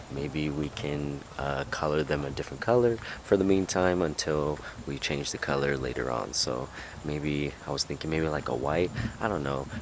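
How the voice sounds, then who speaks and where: There is noticeable background noise as a man talks with a very deep, low pitch. His pitch variation is ordinary. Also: moderate pace. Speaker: car vlogger. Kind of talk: casual vlog. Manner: casual, filler-heavy.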